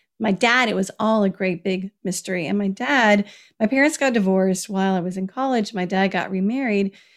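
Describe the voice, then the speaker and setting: This woman has an unremarkable speaking voice at a medium pitch. She talks at a fairly quick pace. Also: ordinary pitch variation. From US South, Kentucky. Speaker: personal finance author. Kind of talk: interview. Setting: video call.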